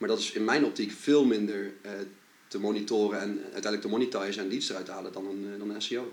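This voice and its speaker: Amid audible room echo, a man with a fairly low pitch speaks at a very fast pace with fairly even intonation. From Netherlands, Gelderland (Duiven). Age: 20s. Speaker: SEO marketing agency owner. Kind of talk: casual interview.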